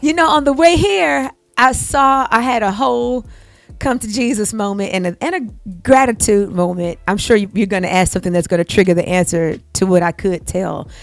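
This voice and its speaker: Speaking at a moderate pace with an American accent, a woman sounds animated, her pitch swinging very widely. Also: medium pitch for a woman. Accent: Texas accent, gets heavier when comfortable. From Houston, Texas. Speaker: singer. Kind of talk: interview.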